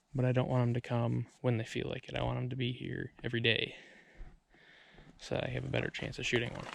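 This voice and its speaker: The speech runs at a very fast pace yet breaks into long, frequent pauses. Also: man. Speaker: bear hunter and outdoors vlogger. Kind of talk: outdoor vlog tutorial. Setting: outdoors in the forest. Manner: quiet, hushed in the woods.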